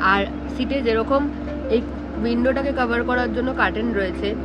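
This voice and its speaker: A woman speaks with music in the background. The sound is dry, with no echo. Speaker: travel vlogger. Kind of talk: casual vlog tour chat. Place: bus. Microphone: phone near.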